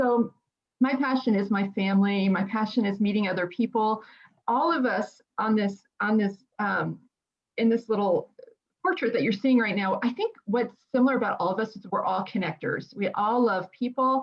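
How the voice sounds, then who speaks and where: A woman with an American accent speaks at a moderate pace in a fairly high, somewhat breathy voice with ordinary pitch variation. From New Jersey. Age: 50s. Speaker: podcast co-host, mental health background. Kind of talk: casual self-introduction.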